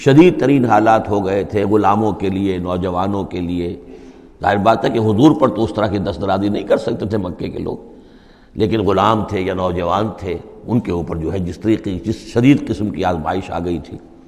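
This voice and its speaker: A man with an unremarkable speaking voice talks in a fairly low pitch with ordinary variation. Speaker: Islamic scholar. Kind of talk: Quran exegesis lecture.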